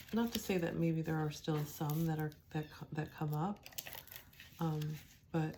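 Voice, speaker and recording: A soft-spoken woman with a very deep, low voice at a moderate pace, with long, frequent pauses and noticeable background noise. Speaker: tarot and oracle card reader. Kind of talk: spiritual card reading. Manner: soft, quiet; hesitant, many fillers.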